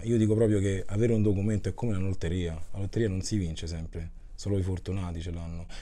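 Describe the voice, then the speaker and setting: A man's fairly low voice with a dark, mellow tone and ordinary pitch variation. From Rome, Italy; Italy. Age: 30s. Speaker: chef and musician; interviewee. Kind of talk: interview testimony; interview answer. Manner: halting, with repetitions. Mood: earnest, reflective. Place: home room. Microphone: lapel.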